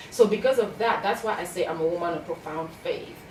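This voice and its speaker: A woman with a Cameroonian accent, noticeable background noise and audible room echo. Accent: Cameroonian (Bamenda). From Cameroon, anglophone Bamenda region. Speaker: success coach and author. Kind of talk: interview. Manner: animated.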